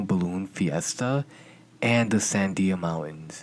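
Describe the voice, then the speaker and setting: Soft-spoken delivery at a fairly slow pace, with a slight non-native accent. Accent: slightly non-native pronunciation. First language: not English. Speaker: true crime podcaster. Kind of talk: scripted narration.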